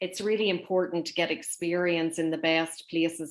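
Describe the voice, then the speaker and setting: In a Northern Irish accent, a woman speaks at a moderate pace and a fairly low pitch with monotone, flat intonation. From Northern Ireland. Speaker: interviewer. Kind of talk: interview.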